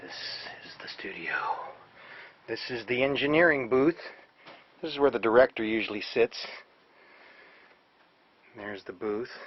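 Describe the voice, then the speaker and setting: A man at medium pitch speaks at a moderate pace with ordinary pitch variation, long, frequent pauses and big swings in loudness. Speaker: voice actor. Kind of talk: casual talk to camera.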